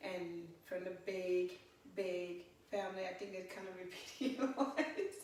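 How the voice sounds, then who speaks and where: A woman with a West African accent, medium in pitch, at a fairly slow pace with ordinary pitch variation and big swings in loudness, in audible room echo with noticeable background noise. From Guinea, West Africa. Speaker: photographer and fitness instructor. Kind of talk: interview, life story. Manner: animated.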